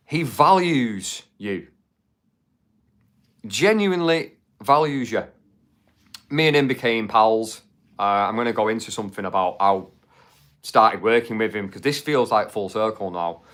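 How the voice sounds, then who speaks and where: In a Mancunian accent, the speaker keeps a moderate pace with lively intonation, big swings in loudness and long, frequent pauses, all on a very clean recording with a silent background. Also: man, medium pitch for a man. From Manchester, England. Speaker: YouTube livestream host. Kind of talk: live stream chat. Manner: casual, chatty with fillers.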